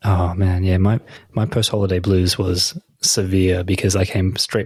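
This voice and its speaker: Monotone and flat, a man speaks. His pitch is very deep and low. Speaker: podcast co-host. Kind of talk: casual chat.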